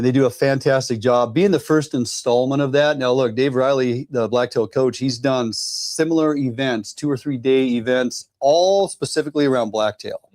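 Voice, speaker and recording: A man with a plain, everyday voice speaks at medium pitch and a moderate pace. He uses ordinary pitch variation and hardly any pauses. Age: 60s. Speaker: outdoor show host. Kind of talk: casual chat. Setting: studio.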